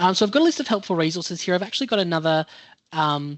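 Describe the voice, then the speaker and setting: An Australian accent at a fairly quick pace. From New South Wales, Australia. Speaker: health educator presenter. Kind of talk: online presentation.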